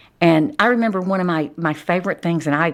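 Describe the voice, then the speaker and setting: In a strong Texas accent, a woman speaks at a moderate pace. Her pitch variation is ordinary. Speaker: criminal defense attorney. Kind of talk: interview.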